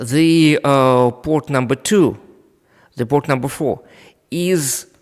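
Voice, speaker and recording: A man with a Russian accent speaks at a very slow pace and a fairly high pitch. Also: ordinary pitch variation. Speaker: network equipment trainer. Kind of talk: live technical demonstration. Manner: halting, many fillers.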